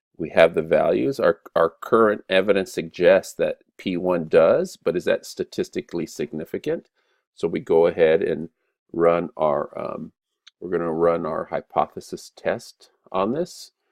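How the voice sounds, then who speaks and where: Delivered at a fairly slow pace, the speech has a dry, close sound with no echo. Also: man. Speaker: statistics teacher. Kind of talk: lecture. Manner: halting.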